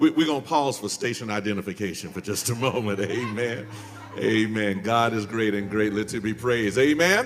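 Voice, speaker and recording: A man speaks at a moderate pace in a fairly low voice with an American accent, his tone animated and warm, his pitch rising and falling in an ordinary way. Music plays in the background and the room echo is audible. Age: 50s. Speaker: pastor. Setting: church sanctuary. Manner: animated, punctuated by repeated rhythmic amens; warm, jovial with laughter and stammered repeats.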